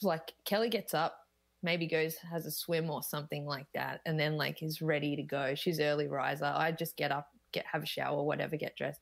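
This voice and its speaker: A woman with an Australian accent and a very deep, low pitch speaks at a fairly quick pace with fairly even intonation. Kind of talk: casual interview chat. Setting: video call.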